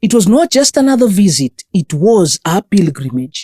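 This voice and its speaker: A woman with a Kenyan accent, dark and mellow in tone, with very wide pitch swings, a moderate pace, and dry, close sound free of echo. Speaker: narrator. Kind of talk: documentary narration. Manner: solemn, reflective.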